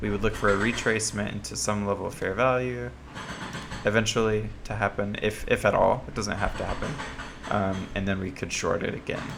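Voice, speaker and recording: Fairly low male voice at a fairly quick pace, with ordinary pitch variation, audible room echo and noticeable background noise. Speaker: trading analyst. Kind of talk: market analysis screen walkthrough. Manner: casual with many filler ums.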